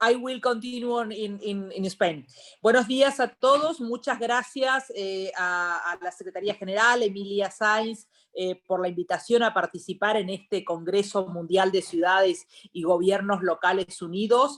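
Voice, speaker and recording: This woman has a plain, everyday voice, medium in pitch, and talks at a moderate pace. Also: ordinary pitch variation, very clean recording, silent background. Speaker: member of European Parliament. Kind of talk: panel speech.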